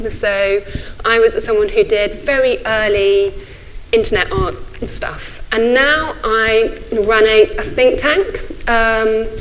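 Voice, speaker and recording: A woman with a British accent speaks at a very slow pace. Audible room echo and noticeable background noise are present. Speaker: think tank leader, speaker. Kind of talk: conference talk. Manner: halting.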